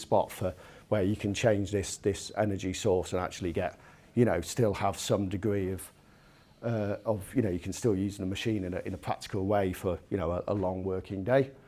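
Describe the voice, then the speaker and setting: A man with a British accent speaks at a fairly quick pace. His fairly low pitch carries a dark, mellow tone. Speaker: engineering product director giving a technical lecture. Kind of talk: technical lecture. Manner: fast; halting, many fillers and repetitions.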